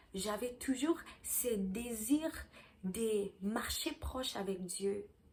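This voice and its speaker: A woman speaks at a fairly high pitch with ordinary pitch variation and long, frequent pauses. Noticeable background noise can be heard. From South Africa. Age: 20s. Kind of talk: testimony. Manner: halting, with fillers and restarts.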